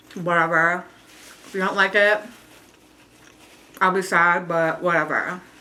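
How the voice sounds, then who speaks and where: Pausing long and often, a woman with a fairly low pitch speaks at a fairly slow pace in a monotone, flat way over noticeable background noise. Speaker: vlogger. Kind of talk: casual chat. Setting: at home on camera. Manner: eating while talking.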